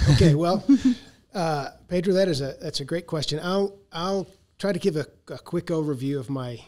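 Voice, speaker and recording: Here is a man with an American accent. He talks at a moderate pace with ordinary pitch variation. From US South, Arkansas. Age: 60s. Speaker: agricultural modeling researcher. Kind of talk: podcast interview. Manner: halting, many fillers.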